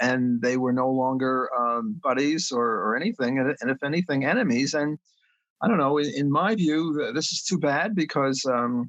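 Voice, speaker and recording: A man speaks at a fairly high pitch and a moderate pace. His pitch variation is ordinary. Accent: New York. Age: 70s. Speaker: economics professor. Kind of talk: podcast interview. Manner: halting, many fillers.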